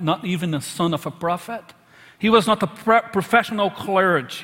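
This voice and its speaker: A man talks with a high pitch that rises and falls an ordinary amount. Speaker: pastor. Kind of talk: sermon. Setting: church.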